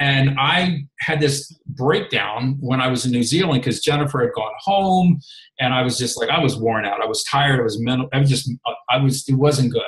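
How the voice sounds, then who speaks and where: Speaking at a moderate pace with an American accent, a man with a fairly high pitch sounds somewhat breathy and uses ordinary pitch variation. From Maryland, US. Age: 50s. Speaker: health and fitness coach, former reality show contestant. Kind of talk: casual chat.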